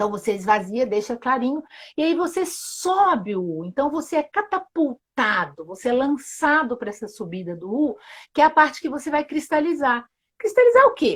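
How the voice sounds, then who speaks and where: A woman talks at a moderate pace with a high pitch. Her pitch swings very widely. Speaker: sustainability journalist and Theory U facilitator. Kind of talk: live-stream interview explanation. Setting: live video stream.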